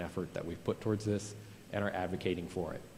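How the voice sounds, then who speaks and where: A man speaks at a very deep, low pitch with a dark, mellow tone. His intonation is monotone and flat. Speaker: school facilities administrator presenting to board. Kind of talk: board meeting presentation. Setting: board meeting. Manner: fast.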